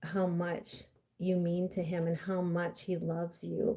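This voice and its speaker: A woman speaks in a somewhat breathy, dark, mellow voice with monotone, flat intonation. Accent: American. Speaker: intuitive coach and card reader. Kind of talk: live-stream card reading. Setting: live stream.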